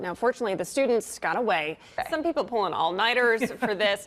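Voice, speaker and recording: This woman's voice sits high in pitch. It moves through very wide pitch swings. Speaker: TV news anchor and reporter. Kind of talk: TV news field report.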